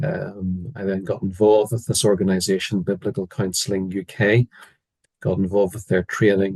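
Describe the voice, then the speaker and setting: A man's fairly low voice at a moderate pace, fairly even intonation, dry, close sound with no echo. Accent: Northern Irish. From Northern Ireland. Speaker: biblical counsellor, former psychiatrist. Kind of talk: interview. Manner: hesitant, many fillers.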